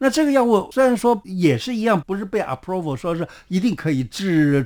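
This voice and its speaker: A very clean recording with a silent background of a man's high-pitched voice with very wide pitch swings. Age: 70s. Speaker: traditional Chinese medicine doctor. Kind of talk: interview. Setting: studio.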